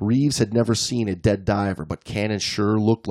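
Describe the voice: The speaker reads aloud plainly with fairly even intonation.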